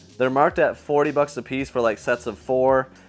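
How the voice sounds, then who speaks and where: Faint music sits in the background. A man speaks at a moderate pace. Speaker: collector vlogger. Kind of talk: casual vlog chat. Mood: excited, upbeat. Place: hall. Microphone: lapel.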